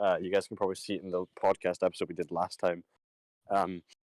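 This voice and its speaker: A man with a Scottish accent at a very fast pace. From Scotland. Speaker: podcast host. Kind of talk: casual chat.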